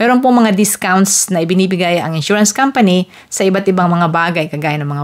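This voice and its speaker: The voice moves at a moderate pace with ordinary pitch variation over a quiet background. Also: woman. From Philippines. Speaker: vlogger; vlogger explaining car insurance. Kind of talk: tutorial. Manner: casual, conversational. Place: home room. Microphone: handheld.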